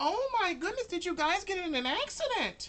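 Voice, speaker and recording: In a squeaky put-on character voice of extremely high pitch, the speaker goes at a moderate pace. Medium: actual play. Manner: gushing, fussy.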